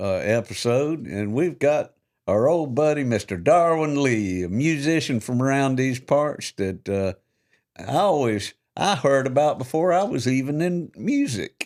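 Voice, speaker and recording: A man in a Georgia accent talks at a fairly slow pace with lively intonation and a fairly high pitch, captured in a very clean recording with a silent background. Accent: US Southern (Georgia). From South Georgia, US South. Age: 60s. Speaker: podcast co-host. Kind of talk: casual interview chat.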